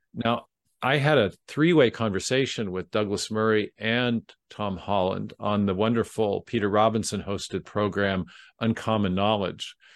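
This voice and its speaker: A man with an American accent and an ordinary speaking voice, fairly low in pitch with ordinary pitch variation, at a moderate pace, against a quiet background in a dry, close sound with no echo. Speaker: author and speaker on intelligent design. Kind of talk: interview. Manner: formal, measured.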